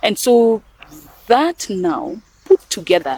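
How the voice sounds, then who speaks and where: In a dry, close sound with no echo, a woman with a Kenyan accent speaks at a fairly high pitch with very wide pitch swings. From western Kenya. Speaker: NGO executive director. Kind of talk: interview.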